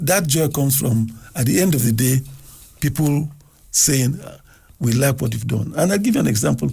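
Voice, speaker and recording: At a moderate pace and medium pitch, a man speaks with vocal fry, ordinary pitch variation, very even loudness and long, frequent pauses. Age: 70s. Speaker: television producer. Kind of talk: radio interview.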